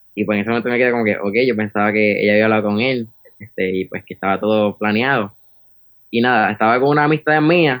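Talking very fast with a Puerto Rican accent, a man is heard in a dry, close sound with no echo. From Puerto Rico, Arecibo. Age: 20s. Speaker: saxophonist, music student. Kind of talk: interview. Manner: halting, many fillers.

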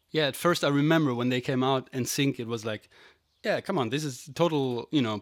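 On a very clean recording with a silent background, a man with a German accent speaks at a medium pitch with ordinary pitch variation, the sound dry and close with no echo. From Germany. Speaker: podcast host, musician. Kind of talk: casual chat.

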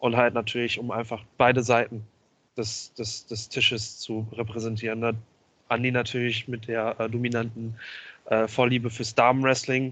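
In a monotone, flat intonation, a man of medium pitch speaks at a moderate pace. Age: 20s. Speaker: wrestling promoter and videographer. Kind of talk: podcast interview.

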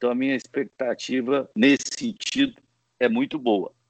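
A man talks with ordinary pitch variation. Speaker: football club executive and law professor. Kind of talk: interview. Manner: halting, many hesitations.

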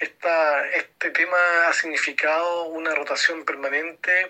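Through noticeable background noise, a man speaks fairly slowly at a fairly high pitch. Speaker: business owner, listener. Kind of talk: recorded voice message. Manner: halting, repeats words.

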